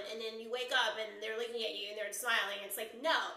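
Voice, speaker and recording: There is audible room echo as a woman speaks with ordinary pitch variation. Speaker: live streamer. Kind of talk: casual vlog chat. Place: home room. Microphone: phone near.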